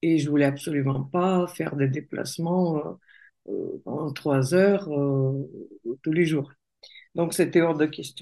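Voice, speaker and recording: The voice has a dark, mellow tone and fairly even intonation, moving at a very slow pace with long, frequent pauses. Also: woman, very deep, low pitch for a woman. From Russia. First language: Russian (speaking French). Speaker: coach and entrepreneur. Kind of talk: interview conversation.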